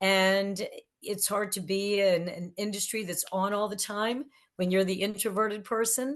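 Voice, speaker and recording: Against a quiet background, a woman speaks in a plain, everyday voice at a medium pitch, with fairly even intonation at a moderate pace. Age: 60s. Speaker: record promotion executive and author. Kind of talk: podcast interview.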